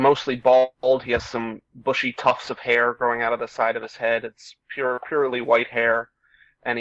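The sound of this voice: Quiet surroundings frame an unforced reading voice.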